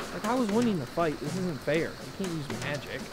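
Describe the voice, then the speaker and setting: Over loud background noise, a put-on character voice, whiny in sound and whiny in tone, runs at a fairly quick pace in a middle pitch. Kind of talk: comic overacting. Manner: casual slangy, whiny, sarcastic.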